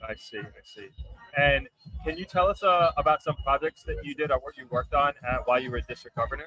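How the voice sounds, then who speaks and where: Speaking at a very fast pace with big swings in loudness, a man with a New York accent comes through in a dry, close sound with no echo. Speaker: podcast host. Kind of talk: interview.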